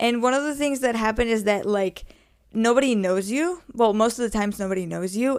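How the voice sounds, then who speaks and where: A woman with a Spanish accent talks at a fairly high pitch with ordinary pitch variation. The recording is very clean, the background silent. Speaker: podcaster. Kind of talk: casual solo podcast talk. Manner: halting, many fillers.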